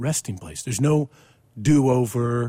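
A somewhat breathy man with an American accent speaks fairly slowly at a medium pitch in a dark, mellow tone, recorded dry and close with no echo. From Missouri, US Midwest. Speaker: pastor. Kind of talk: casual chat.

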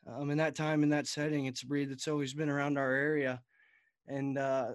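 In a very clean recording with a silent background, a man with a Texas accent and a fairly high pitch talks at a fairly quick pace. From Texas Panhandle. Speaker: college student and retiring youth livestock association director. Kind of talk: casual interview.

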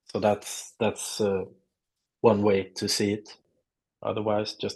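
Against a quiet background, a man with a Swedish accent talks at a fairly low pitch in monotone, flat intonation. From southern Sweden (Lund). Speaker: artist. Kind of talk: casual interview.

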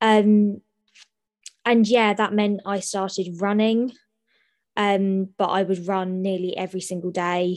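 Speaking slowly in a southern English accent, a woman keeps a medium pitch and monotone, flat intonation, with long, frequent pauses. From southern England, Sutton (London). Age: 20s. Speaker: university student. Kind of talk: interview testimony.

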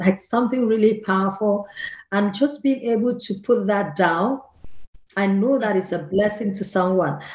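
Somewhat breathy in quality, this voice moves at a moderate speed and carries lively intonation. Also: woman. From southern Nigeria. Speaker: author. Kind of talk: interview.

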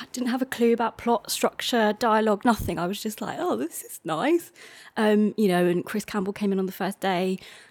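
A woman with a London accent speaks fairly quickly at a fairly high pitch, recorded very cleanly over silence with a dry, close sound and no echo. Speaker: playwright. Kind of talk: casual interview. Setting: her flat.

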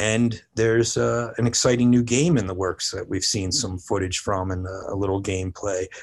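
Fairly low-pitched man with an American accent, a normal speaking voice, a moderate pace and a quiet background. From New Jersey. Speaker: toy company creative director. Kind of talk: interview.

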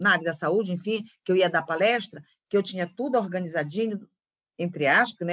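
A woman speaks at a fairly quick pace with a northern Brazilian accent. Her tone is bright and sharp. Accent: northern Brazilian (Pará). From Belém do Pará, northern Brazil. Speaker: facilitator, former psychologist. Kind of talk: interview.

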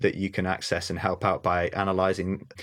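A very fast man's voice in a North Welsh accent, fairly low in pitch, against a quiet background. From North Wales. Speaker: ecologist and wildlife photographer. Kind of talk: casual interview chat.

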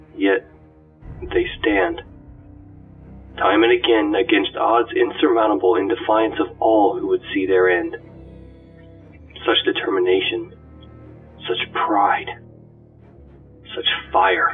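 Putting on a character voice, a man speaks slowly at a fairly low pitch with ordinary pitch variation, a slightly husky edge, and long, frequent pauses, while faint music plays in the background.

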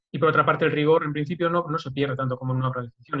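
Here a man talks with a fairly high pitch. His intonation is fairly even. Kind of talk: casual chat.

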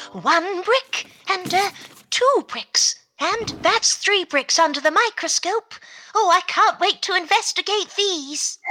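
A woman speaks at an extremely high pitch and a fairly slow pace, her intonation lively. Her loudness stays very even, and the sound is dry and close with no echo. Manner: cheerful, brisk.

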